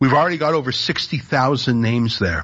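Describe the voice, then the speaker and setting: Lively in intonation, a man with a plain, everyday voice talks at a fairly high pitch. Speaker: media commentator. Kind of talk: interview.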